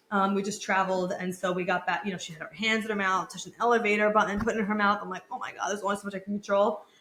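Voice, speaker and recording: Over noticeable background noise, a woman talks at a very fast pace with hardly any pauses. Her medium-pitched voice is monotone and flat in intonation, with big swings in loudness. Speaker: podcast host, women's hormone and fertility coach. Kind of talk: solo podcast monologue. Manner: casual, filler-heavy.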